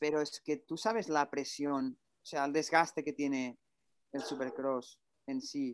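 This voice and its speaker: A plain, everyday voice moves at a fairly slow pace with ordinary pitch variation. Its loudness shifts in big swings. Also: man, fairly high pitch for a man. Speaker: motocross rider and podcast host. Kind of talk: casual chat.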